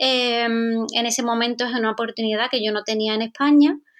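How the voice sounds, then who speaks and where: The woman talks fairly slowly, her voice high in pitch. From Andalusia, Spain. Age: 20s. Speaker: aesthetic nurse. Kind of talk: interview.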